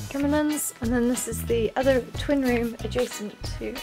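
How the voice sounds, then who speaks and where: A woman's voice is heard with clear music playing behind her. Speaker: travel vlogger. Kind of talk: casual vlog chat. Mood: cheerful, amused. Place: home room. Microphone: phone near.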